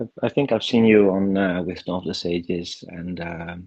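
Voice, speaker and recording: A man is speaking at a medium speed. The rise and fall of his pitch is typical. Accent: slight Dutch. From Netherlands. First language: Dutch. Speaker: first-time participant. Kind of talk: casual chat. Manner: halting.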